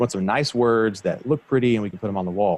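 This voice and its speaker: Talking at a very fast pace, a man shows ordinary pitch variation in a dry, close sound with no echo. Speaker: construction company founder. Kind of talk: interview.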